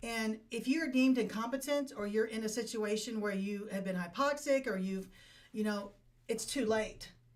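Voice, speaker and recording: A woman with an American accent and an ordinary speaking voice talks at a moderate pace, her fairly high pitch showing ordinary variation. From Appalachian Ohio. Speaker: veteran and estate planning helper. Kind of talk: interview. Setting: studio.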